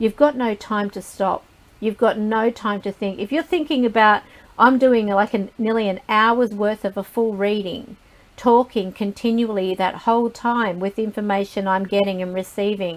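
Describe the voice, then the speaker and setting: A woman with a plain, everyday voice, a fairly high pitch, fairly even intonation and a moderate pace. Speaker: psychic reader. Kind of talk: live group talk.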